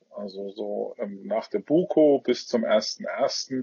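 A man speaks with a Franconian accent. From Franconia, Bavaria. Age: 30s. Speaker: business executive, association chairman. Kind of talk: interview. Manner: halting, many fillers.

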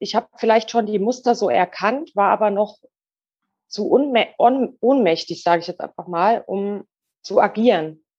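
The voice is an unremarkable speaking voice with ordinary pitch variation. It moves at a fairly slow pace. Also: woman. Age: 40s. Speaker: goldsmith. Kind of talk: interview.

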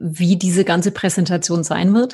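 At a moderate pace and medium pitch, a woman speaks somewhat breathily with fairly even intonation against a quiet background. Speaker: podcast host, marketing specialist. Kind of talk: interview conversation. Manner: scripted intro and outro delivery.

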